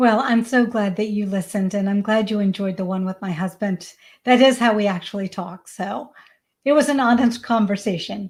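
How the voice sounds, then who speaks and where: A somewhat breathy woman with an American accent at a moderate pace. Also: medium pitch for a woman, ordinary pitch variation, very clean recording, silent background. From US South, Georgia. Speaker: parenting coach. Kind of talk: interview.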